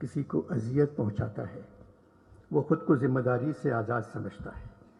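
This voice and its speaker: A man's voice with music in the background. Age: 80s+. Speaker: humorist writer. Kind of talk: public speech at literature festival.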